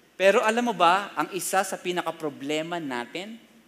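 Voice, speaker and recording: Bright and sharp in tone, a man's high voice moves with lively intonation at a moderate pace. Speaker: pastor. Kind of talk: sermon. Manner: animated.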